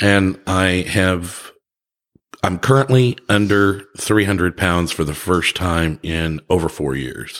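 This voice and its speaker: Very deep and low in pitch, a man speaks at a very slow pace. His pitch variation is ordinary. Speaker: bartender and airline worker. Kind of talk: casual chat. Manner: jokey.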